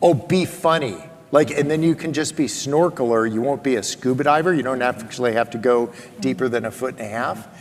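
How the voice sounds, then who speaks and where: An animated man's voice of medium pitch, fairly quick, with ordinary pitch variation and noticeable background noise. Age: 60s. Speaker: author and former lawyer. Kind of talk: interview.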